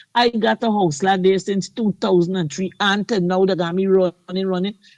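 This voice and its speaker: A woman with a Guyanese accent speaks at a moderate pace and medium pitch, showing ordinary pitch variation, in a dry, close sound with no echo. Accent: Guyanese Creole English. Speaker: caller. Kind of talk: call-in radio talk.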